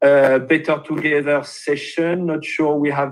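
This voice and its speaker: A man speaks with a French accent. The background is quiet. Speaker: webinar host. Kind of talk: webinar introduction.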